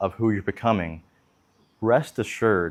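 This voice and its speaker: The pace is moderate, and the pitch variation is ordinary for this man. Recorded very cleanly, the clip has a silent background. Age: 20s. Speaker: video blogger. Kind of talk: casual monologue. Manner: hesitant, with many fillers.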